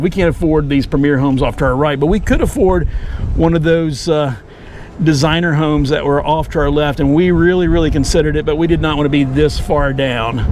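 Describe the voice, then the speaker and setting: Very fast speech with fairly even intonation comes through audible room echo and noticeable background noise. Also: man. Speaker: YouTube vlogger. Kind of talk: casual vlog narration while driving. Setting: outdoors in a golf cart.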